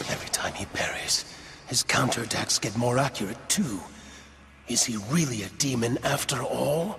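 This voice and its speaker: A man whispers in a cartoonish character voice at a moderate pace, with clear background noise behind him. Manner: measured, intense.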